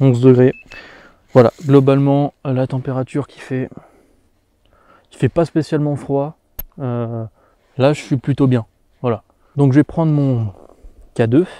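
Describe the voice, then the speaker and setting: Recorded dry and close with no echo, a man with a dark, mellow, medium-pitched voice speaks fairly slowly with fairly even intonation, big swings in loudness and long, frequent pauses. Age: 20s. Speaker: paranormal investigator youtuber. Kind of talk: solo paranormal investigation vlog.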